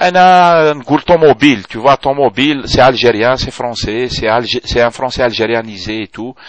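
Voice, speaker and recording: A man with a strong Algerian accent speaks at a fairly slow pace and medium pitch, with ordinary pitch variation, hardly any pauses, and a dry, close sound with no echo. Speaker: video blogger. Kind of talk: video blog reply, rant. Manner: code-switching French and Algerian Arabic; hesitant, many fillers.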